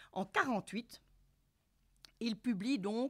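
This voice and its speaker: A woman's voice with vocal fry against a quiet background. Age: 50s. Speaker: sex therapist and couples therapist. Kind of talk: lecture. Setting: university lecture hall with audience. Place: hall. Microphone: podium.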